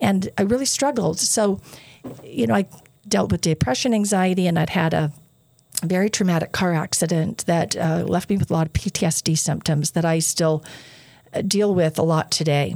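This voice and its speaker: A woman speaks with an American accent at a medium pitch and a moderate pace. She has a plain, everyday voice. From southern Utah. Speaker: university board chair. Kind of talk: interview. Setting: studio.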